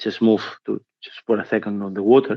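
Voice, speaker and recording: Monotone, flat delivery in a Spanish accent at a fairly quick pace. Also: man. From Spain. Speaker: trade union policy officer. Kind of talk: conference talk. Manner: hesitant, with fillers and restarts.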